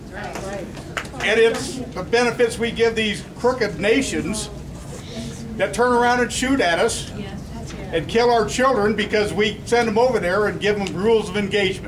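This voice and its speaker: Amid noticeable background noise and audible room echo, a man speaks at a moderate pace. His pitch is high and his intonation fairly even. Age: 60s. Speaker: audience member. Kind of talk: public statement at town hall. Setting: public meeting with audience.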